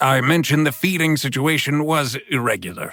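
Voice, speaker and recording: Using a put-on character voice, a man talks at a fairly high pitch and a fairly quick pace in a very clean recording with a silent background. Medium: read story. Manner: formal, unflappable calm.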